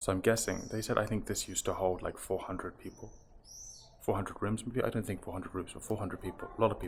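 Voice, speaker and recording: A man talks in a fairly low, monotone voice with flat intonation. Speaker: travel vlogger. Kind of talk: travel vlog. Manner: quiet; halting.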